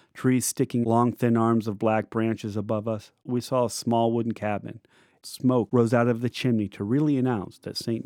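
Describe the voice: What plays here is plain reading aloud.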